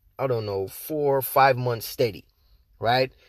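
This man has an American accent. He keeps a moderate pace. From outside the US. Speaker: podcast host, internet marketer. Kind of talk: casual solo podcast monologue. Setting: podcast. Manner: casual, slangy, energetic.

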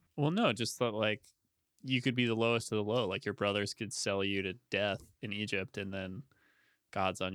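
A man with a fairly low pitch and vocal fry speaks in a bright, sharp tone with ordinary pitch variation. The recording is very clean, with a silent background and a dry, close sound with no echo. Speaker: podcast host.

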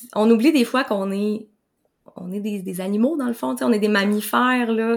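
The woman's voice sits at a medium pitch with ordinary pitch variation. She talks at a moderate pace. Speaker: nutritionist. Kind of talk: interview conversation. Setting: video call.

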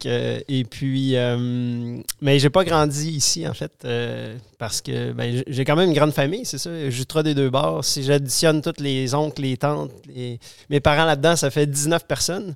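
A man's fairly high voice at a fairly slow pace, ordinary pitch variation, dry and close sound with no echo. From Quebec City, Quebec. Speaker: organic vegetable farming network member. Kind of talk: casual interview. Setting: host's home. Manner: halting.

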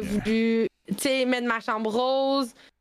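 A woman's high-pitched voice with an animated tone. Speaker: streamer and nurse. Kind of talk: casual chat. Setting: live stream.

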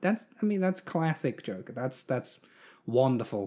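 The pace is moderate. Pitch swings very widely throughout. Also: man. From England. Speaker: film podcast co-host. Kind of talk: casual chat.

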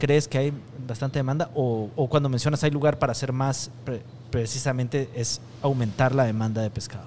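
Using a normal speaking voice, a man keeps his intonation fairly even at a medium pitch. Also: moderate pace. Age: 40s. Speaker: podcast host, gastronomy communication expert. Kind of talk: interview. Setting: restaurant.

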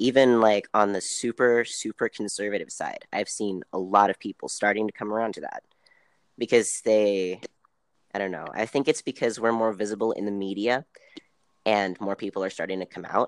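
With an ordinary speaking voice, a man talks at a moderate pace and a fairly low pitch, with ordinary pitch variation. The sound is dry and close, with no echo. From US South, Tennessee. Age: 30s. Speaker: interview guest. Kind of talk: casual interview.

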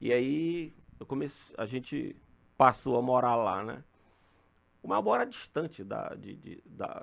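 A man at a very slow pace and medium pitch, with ordinary pitch variation, big swings in loudness and long, frequent pauses. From Maranhão, Brazil. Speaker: retired police colonel and politician. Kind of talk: casual interview.

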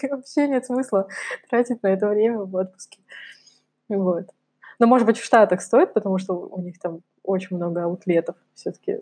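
A woman with a dark, mellow tone speaks at a moderate pace. Her pitch varies in an ordinary way, and she makes long, frequent pauses. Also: medium pitch for a woman. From Russia, Kamchatka. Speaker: podcast co-host. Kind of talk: casual chat.

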